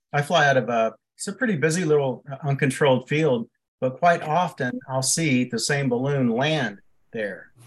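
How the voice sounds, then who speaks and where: Somewhat breathy and fairly high-pitched, a man talks at a moderate pace. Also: ordinary pitch variation. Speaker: private pilot. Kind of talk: casual chat.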